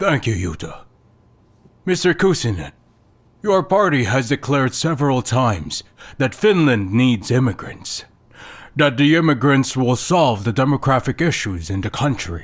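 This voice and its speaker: Using a put-on character voice, a man at medium pitch swings very widely in pitch, speaking at a moderate pace with long, frequent pauses in a very clean recording with a silent background. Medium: fan dub.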